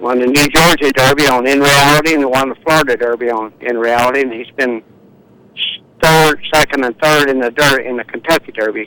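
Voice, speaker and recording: Talking at a fairly quick pace, a man has a bright, sharp tone and fairly even intonation. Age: 70s. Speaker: racehorse trainer. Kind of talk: phone interview. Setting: remote live link. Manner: halting, many fillers.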